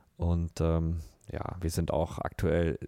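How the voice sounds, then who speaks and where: A man speaks in a dark, mellow tone. The recording is very clean, the background silent. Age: 30s. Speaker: football referee. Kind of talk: casual interview.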